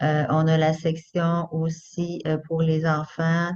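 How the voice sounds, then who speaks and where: A woman's fairly low voice stays monotone, with flat intonation. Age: 50s. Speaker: home business seller. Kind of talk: self-presentation in online panel.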